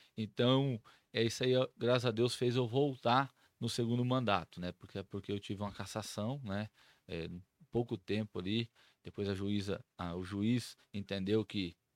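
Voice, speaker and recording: Against a silent background in a very clean recording, a man speaks with a normal speaking voice, at a moderate pace and fairly low pitch. The sound is dry and close with no echo, and his intonation stays fairly even. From Brazil, Mato Grosso do Sul (São Gabriel do Oeste). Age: 40s. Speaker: city councillor. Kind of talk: casual interview.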